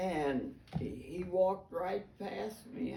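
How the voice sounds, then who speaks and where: With vocal fry and a dark, mellow tone, a woman's voice swings very widely in pitch. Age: 80s+. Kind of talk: interview answer. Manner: slow.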